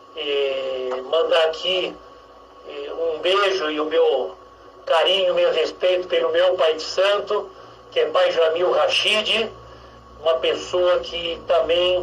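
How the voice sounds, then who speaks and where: A man is speaking over noticeable background noise. Room echo can be heard. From Brazil, São Paulo. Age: 60s. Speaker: religious leader and activist. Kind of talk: radio interview. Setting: radio studio.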